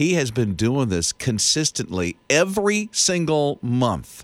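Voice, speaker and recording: A man speaks in an animated tone, his pitch swinging very widely. The recording is very clean, with a silent background. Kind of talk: radio DJ banter, morning-show patter trading quips and riffing on quirky news stories.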